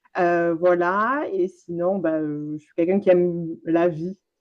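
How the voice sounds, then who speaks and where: A woman's fairly low voice in a southwestern French accent, at a very slow pace. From France, Landes (southwest). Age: 30s. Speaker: business coach. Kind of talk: interview conversation.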